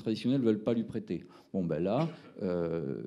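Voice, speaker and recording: Speaking in a Toulouse accent, a man uses a fairly low pitch and lively intonation. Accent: southern French (Toulouse). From Toulouse, southern France. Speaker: startup founder presenting. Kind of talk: pitch presentation at a round table. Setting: round table event with audience. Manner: hesitant, many fillers.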